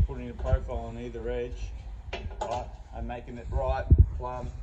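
Loud background noise surrounds a man as he talks. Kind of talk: tutorial. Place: street.

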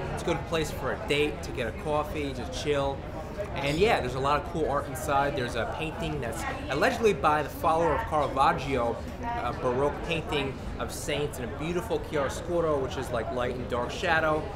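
Loud background noise sits behind a man with a New York accent. He speaks at a fairly quick pace. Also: ordinary pitch variation. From New York City, Greenwich Village; New York City. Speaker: tour guide. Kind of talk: walking tour vlog. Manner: casual. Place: street.

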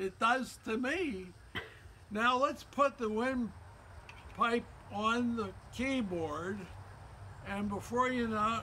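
A raised, projected voice at a very slow pace, with ordinary pitch variation and light background noise. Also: man. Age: 80s+. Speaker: flute player. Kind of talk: educational talk to young children. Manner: upbeat. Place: garden. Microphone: phone near.

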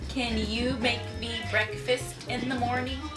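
At a very slow pace, a woman talks while clear music plays behind her. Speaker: vlogger. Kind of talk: casual talk to camera. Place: home room.

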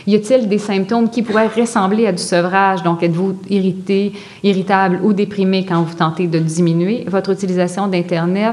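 Noticeable background noise sits under a woman speaking at a moderate pace. Her medium-pitched voice keeps very even loudness and fairly even intonation. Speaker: psychology professor and addiction researcher. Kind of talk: lecture. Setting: stage with audience.

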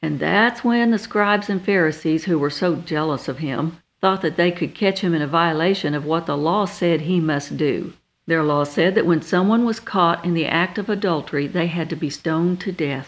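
The background is quiet. It is a normal speaking voice with ordinary pitch variation. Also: woman, fairly low pitch for a woman, moderate pace. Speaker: minister. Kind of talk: radio sermon.

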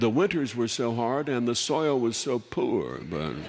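A man talks with ordinary pitch variation, light background noise behind him. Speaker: storyteller host. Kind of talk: humorous storytelling monologue. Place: stage.

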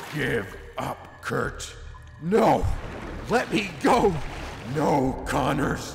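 A put-on character voice moves at a very slow pace, with long, frequent pauses. Clear background noise sits under it. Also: man, fairly high pitch for a man. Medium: machinima. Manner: grandiose, then pleading and bitter.

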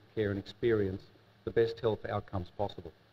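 This man talks at a very fast pace in a fairly low, somewhat breathy voice. His intonation stays fairly even. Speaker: health district chief executive. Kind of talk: testimony. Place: hall. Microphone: podium.

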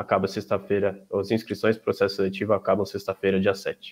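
This is a man talking. His pace is very fast. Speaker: student event organizer; student event host. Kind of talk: event opening and closing. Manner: formal. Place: home room.

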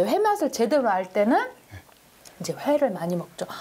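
Cheerful, high-pitched woman's voice with very wide pitch swings. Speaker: food show host. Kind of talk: casual interview chat. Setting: on location at restaurant. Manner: cheerful, laughs often. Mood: cheerful, warm. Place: cafe. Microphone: lapel.

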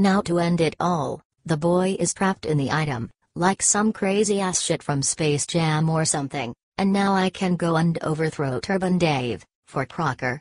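At a moderate pace, a woman speaks in a fairly low pitch with very even loudness. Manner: villainous, gloating, cackling.

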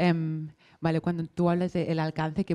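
A woman speaks in a flat monotone at a fairly low pitch. Her tone is dark and mellow, and the background is quiet. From Barcelona. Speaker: maker community manager; panelist. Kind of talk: panel discussion. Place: hall. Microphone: handheld.

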